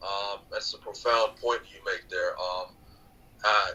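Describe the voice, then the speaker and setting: Fairly slow speech from a man with an American accent. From United States. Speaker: author and podcaster. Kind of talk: podcast interview. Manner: halting, many fillers.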